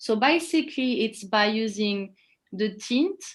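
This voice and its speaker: In a French accent, a woman talks at a fairly high pitch. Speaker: image consultant. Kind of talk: webinar explanation.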